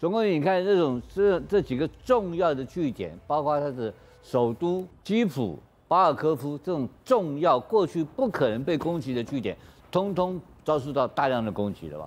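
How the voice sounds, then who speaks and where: A man with a fairly high pitch talks with very wide pitch swings. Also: moderate pace. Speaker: TV news panelist. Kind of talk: TV current affairs panel discussion. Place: studio.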